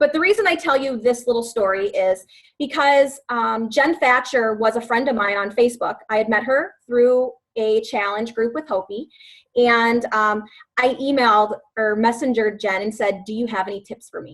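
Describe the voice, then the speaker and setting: A woman with an American accent and an unremarkable speaking voice, fairly high in pitch, with ordinary pitch variation. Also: moderate pace. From US Midwest, West Chicago, Illinois. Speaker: fitness coach. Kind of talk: team call presentation.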